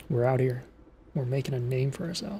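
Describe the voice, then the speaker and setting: The voice goes at a moderate pace while music plays in the background. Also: man. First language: not English. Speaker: streamer. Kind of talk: casual chat. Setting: live stream.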